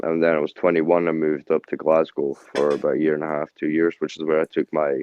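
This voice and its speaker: A man with a Scottish accent, a very deep, low pitch and a fairly quick pace. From central Scotland (Stirling). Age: 30s. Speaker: rapper and security guard. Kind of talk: interview.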